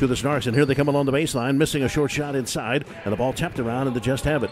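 Over noticeable background noise, a man speaks in an energetic tone. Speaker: professional radio play-by-play announcer. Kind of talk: sports play-by-play commentary. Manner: fast, fluent, energetic.

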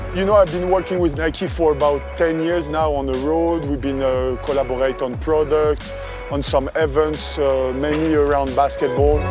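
A man speaks with a dry sound and no echo. Clear music plays in the background. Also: moderate pace. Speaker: court creator. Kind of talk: interview answer. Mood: relaxed, reflective. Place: street.

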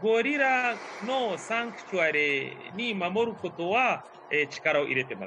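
With a non-native accent, a man uses a raised, projected voice at a high pitch and fairly slow pace, with very wide pitch swings and big swings in loudness over noticeable background noise. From Uganda. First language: not Japanese (speaking Japanese). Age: 40s. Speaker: tour guide. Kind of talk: online tour guiding. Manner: hesitant with fillers. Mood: friendly, cheerful. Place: home room. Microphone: video call.

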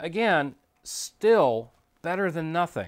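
The man speaks at a very slow pace. His pitch variation is ordinary. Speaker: video transfer business host. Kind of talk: tutorial. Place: home room.

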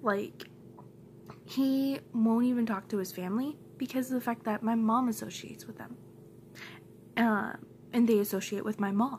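Against light background noise, a somewhat breathy woman speaks at a moderate pace with fairly even intonation and long, frequent pauses. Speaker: vlogger. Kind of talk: angry rant. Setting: home, recorded to camera. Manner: fired-up, emphatic, repeating lines for punch; blunt, heated, defiant. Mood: upset, venting frustration. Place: home room. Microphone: phone near.

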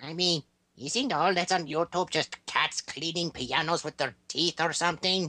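A put-on character voice that sounds female speaks at a middle pitch and a moderate pace. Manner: hesitant, rambling with many fillers.

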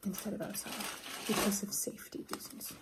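Someone soft-spoken is whispering. Loud background noise fills the clip. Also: woman. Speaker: ASMR creator. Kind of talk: soft-spoken ASMR craft chat. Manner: soft-spoken, whispered. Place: home room. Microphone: phone near.

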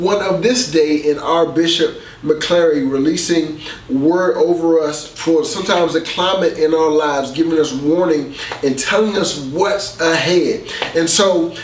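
At a fairly slow pace, a man reads in a high pitch with ordinary pitch variation, with audible room echo and light background noise. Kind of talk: sermon. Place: studio.

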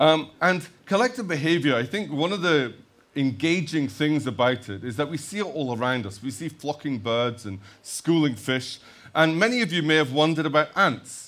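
There's vocal fry in this man's voice. He talks at a moderate pace. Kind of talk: lecture. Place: stage.

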